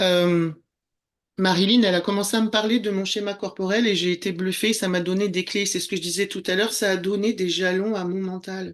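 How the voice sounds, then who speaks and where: Against a quiet background, a woman at a medium pitch talks at a fairly quick pace with monotone, flat intonation. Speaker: former documentary filmmaker, spiritual guide. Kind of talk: interview conversation.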